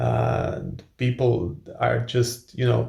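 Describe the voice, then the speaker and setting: This man speaks with a Croatian accent at a medium pitch. His voice is somewhat breathy and his intonation is monotone and flat. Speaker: male model and author, video blogger. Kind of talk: casual Q&A vlog. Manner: halting, many fillers and repetitions.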